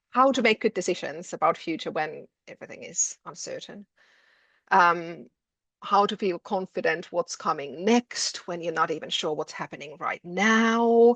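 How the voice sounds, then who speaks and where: In a Finnish accent, a woman speaks at a medium pitch and a moderate pace, with lively intonation and big swings in loudness. The sound is dry and close with no echo, over a quiet background. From Finland. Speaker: education lecturer. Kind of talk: webinar presentation.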